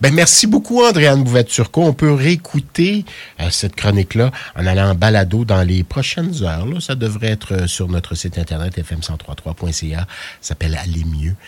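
Somewhat breathy speech at a moderate pace, with very wide pitch swings. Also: man, fairly low pitch for a man. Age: 50s. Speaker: radio host. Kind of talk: radio interview.

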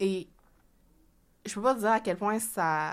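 On a very clean recording with a silent background, a woman speaks at a fairly slow pace with fairly even intonation. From Quebec. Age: young. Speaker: author and finance blogger. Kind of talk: interview.

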